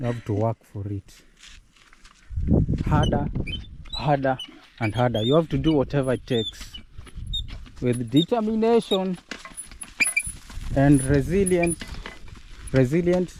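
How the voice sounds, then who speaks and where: Over noticeable background noise, a man with a Kenyan accent speaks at a fairly slow pace and a medium pitch. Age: 20s. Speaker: vlogger. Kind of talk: casual vlog narration.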